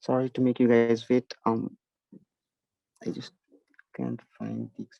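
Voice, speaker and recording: A man with a Nepali accent speaks at a fairly slow pace with long, frequent pauses and big swings in loudness. The sound is dry and close, with no echo. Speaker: math olympiad instructor. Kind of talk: online lecture. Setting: online video session, camera off. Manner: halting, many fillers.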